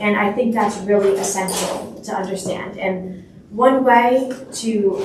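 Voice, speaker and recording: A woman talks with fairly even intonation while audible room echo and noticeable background noise fill the recording. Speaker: youth representative, panel speaker. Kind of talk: panel talk.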